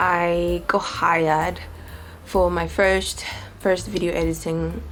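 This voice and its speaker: Music plays behind a woman's voice. Her speech carries audible room echo. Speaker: vlogger and freelancer. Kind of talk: casual vlog talk. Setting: at home. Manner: animated.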